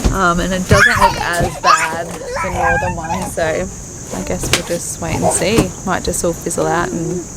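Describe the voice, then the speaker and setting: Music plays in the background as someone with an Australian accent talks at a fairly slow pace. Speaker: sailing vlogger. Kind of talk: vlog narration. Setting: boat cabin.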